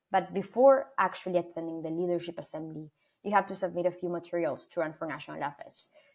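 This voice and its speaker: A woman's fairly low voice with an Argentine accent, fairly quick pace and ordinary pitch variation. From Argentina, Buenos Aires. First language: Spanish. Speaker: student leader. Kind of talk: interview.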